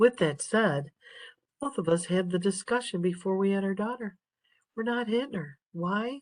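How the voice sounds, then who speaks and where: Quiet and calm in tone, a woman speaks at a moderate pace with lively intonation. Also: medium pitch for a woman. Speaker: nursing instructor. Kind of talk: lecture. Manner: quiet, calm.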